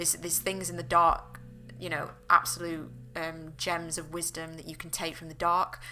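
Over music in the background, a woman talks at a fairly quick pace in a northern English accent. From northern England. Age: 20s. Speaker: podcast host. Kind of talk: solo casual monologue. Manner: hesitant, many fillers.

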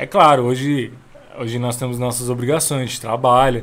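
A man talks at a fairly quick pace in an ordinary speaking voice, medium in pitch with fairly even intonation. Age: 20s. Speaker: church member, musician. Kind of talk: casual chat.

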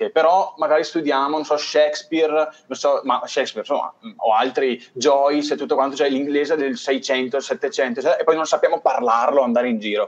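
An unremarkable speaking voice from a man, fairly high in pitch, with ordinary pitch variation at a moderate pace. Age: 20s. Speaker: youtube channel panelist. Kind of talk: casual online panel discussion.

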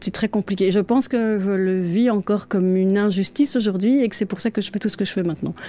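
A woman speaks at a medium pitch with ordinary pitch variation. Her pace is fairly quick, and music plays in the background. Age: 40s. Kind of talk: interview. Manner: hesitant.

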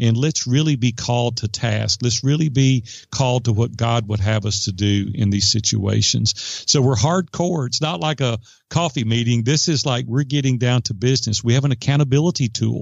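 A man with an ordinary speaking voice talks at a moderate pace with a medium pitch. His loudness stays very even, with ordinary pitch variation. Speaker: entrepreneur and business coach. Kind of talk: interview.

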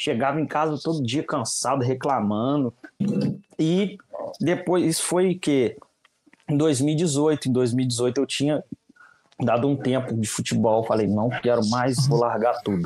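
The speaker goes at a fairly slow pace with long, frequent pauses, very even loudness and ordinary pitch variation. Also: man, medium pitch for a man. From Minas Gerais, Brazil (Juiz de Fora). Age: 20s. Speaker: social media content creator, digital marketing. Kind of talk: casual interview chat.

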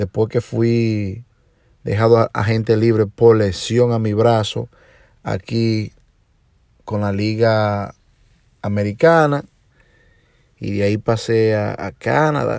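On a very clean recording with a silent background, a man with a Dominican accent speaks at a fairly low pitch. His pace is very slow, with long, frequent pauses. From Dominican Republic, Puerto Plata. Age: 40s. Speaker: podcast host and DJ. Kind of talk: personal monologue. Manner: hesitant with filler sounds.

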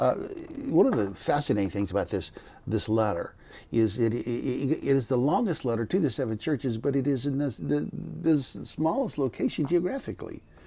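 This man's dark, mellow voice sits at a medium pitch, with vocal fry. His pitch swings very widely. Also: moderate pace. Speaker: Bible teacher and former pastor. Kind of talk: Bible teaching podcast.

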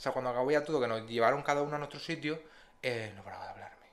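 A man with a fairly high pitch talks very fast, his pitch varying in an ordinary way. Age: 20s. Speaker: podcast co-host. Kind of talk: casual chat.

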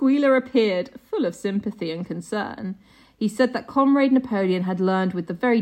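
Unforced reading aloud.

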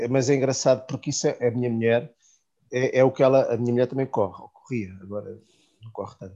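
A man in a European Portuguese accent talks at a very fast pace, medium in pitch and dark, mellow in tone, with fairly even intonation over a quiet background. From Portugal, Santarém. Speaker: podcast host. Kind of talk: casual chat.

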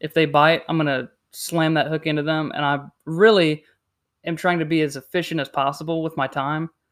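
A plain, everyday voice from a man with a fairly high pitch and an American accent, fairly even intonation and a moderate pace. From South Carolina. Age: 20s. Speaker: fishing podcast co-host. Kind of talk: casual chat.

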